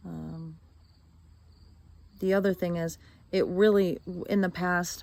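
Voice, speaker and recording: Soft-spoken delivery at a fairly slow pace. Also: woman. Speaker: vlogger. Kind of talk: video diary monologue. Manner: mellow.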